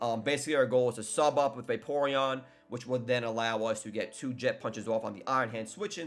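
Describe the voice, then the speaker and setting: At a very fast pace, a man speaks with a medium pitch and ordinary pitch variation. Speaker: gaming YouTuber and league coach. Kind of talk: tutorial. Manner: casual.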